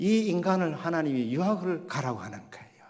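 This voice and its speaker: A man speaks at a moderate pace with ordinary pitch variation. There is audible room echo. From Gyeongsang region, South Korea. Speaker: pastor. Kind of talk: sermon.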